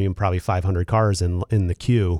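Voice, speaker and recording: An unremarkable speaking voice from a man with an American accent, fairly quick in pace, with ordinary pitch variation, a dry, close sound with no echo and a very clean recording over a silent background. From Philadelphia. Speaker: radio host. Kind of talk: interview.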